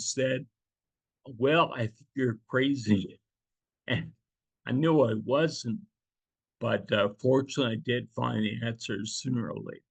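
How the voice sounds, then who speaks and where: Vocal fry runs through a man's medium-pitched voice as he speaks at a very slow pace. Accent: American. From New Jersey. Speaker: patient advocate. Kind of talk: interview testimony. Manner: halting.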